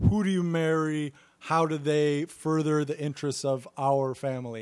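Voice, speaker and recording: Intonation stays fairly even in a plain, everyday voice. Nothing intrudes in the quiet background, and the pace is moderate. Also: man. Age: 30s. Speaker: podcast co-host. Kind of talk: casual chat.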